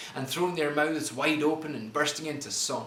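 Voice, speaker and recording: Over noticeable background noise, a man with a Scottish accent talks in a fairly high pitch. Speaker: poet. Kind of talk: spoken word poetry performance.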